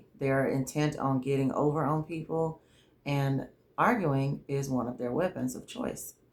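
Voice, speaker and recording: A Southern US accent comes through. The delivery keeps a moderate pace. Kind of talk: faith-based advice monologue. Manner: trouble pronouncing 'argue'.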